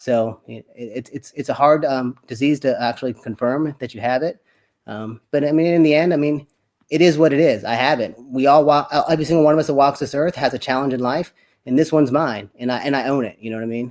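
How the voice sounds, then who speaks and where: Talking at a very fast pace, a man with fairly high pitch shows ordinary pitch variation. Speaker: accountant with Parkinson's, fitness enthusiast. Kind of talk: casual interview on live stream. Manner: halting, repetitive.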